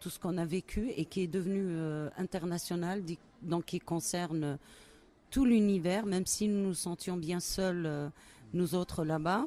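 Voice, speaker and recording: Speaking at a very slow pace with an Algerian accent, a woman uses a fairly low pitch, a dark, mellow tone and ordinary pitch variation. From Algeria, Kabylie. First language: Kabyle (speaking French). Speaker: poet. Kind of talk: interview. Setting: book festival. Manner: hesitant, many fillers.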